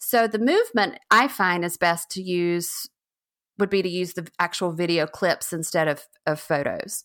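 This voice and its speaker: With an ordinary speaking voice, a woman speaks at a fairly slow pace, her fairly low pitch showing ordinary pitch variation. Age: 40s. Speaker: novelist and book trailer creator. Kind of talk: interview. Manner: casual, many fillers and restarts.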